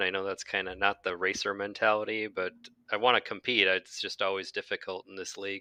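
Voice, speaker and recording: Speaking at a fairly quick pace with a Northeast Wisconsin accent, a man has a bright, sharp tone in a dry, close recording with no echo and a quiet background. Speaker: sim racing driver. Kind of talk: interview.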